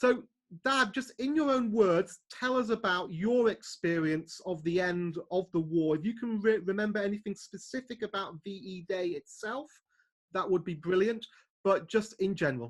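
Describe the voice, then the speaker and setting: In a British accent, a man speaks at a high pitch with lively intonation. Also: moderate pace. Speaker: channel owner interviewing his parents. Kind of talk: casual family interview.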